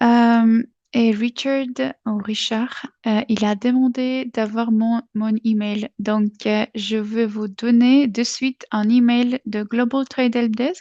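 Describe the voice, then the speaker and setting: A woman speaks very slowly with a non-native accent in a fairly high pitch. Her intonation is monotone and flat, and the sound is dry and close with no echo. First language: not French (speaking French). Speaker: webinar presenter. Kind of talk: webinar presentation. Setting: online webinar. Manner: halting, many hesitations.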